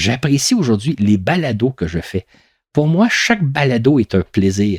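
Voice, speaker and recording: A man of medium pitch speaks somewhat breathily at a fairly slow pace, with very wide pitch swings. The sound is dry and close, with no echo. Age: 60s. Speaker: podcast storyteller. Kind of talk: reflective monologue. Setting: home recording.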